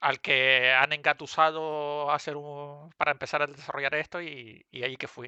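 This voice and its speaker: Speaking with a Canarian accent, a man uses a fairly high pitch and a bright, sharp tone, his intonation monotone and flat, his loudness swinging widely, hardly any pauses between words, and the sound dry and close with no echo. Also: moderate pace. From Canary Islands. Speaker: video game programmer. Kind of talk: online talk.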